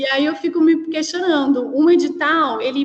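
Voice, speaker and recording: The woman talks very slowly, and her pitch varies in an ordinary way. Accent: São Paulo interior. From interior of São Paulo state, Brazil. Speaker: cultural producer. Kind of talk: question in an online discussion.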